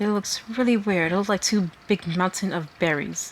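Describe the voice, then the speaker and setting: Fairly even intonation runs at a moderate pace over light background noise. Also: woman. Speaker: artist. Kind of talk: art tutorial narration. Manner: halting. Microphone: phone near.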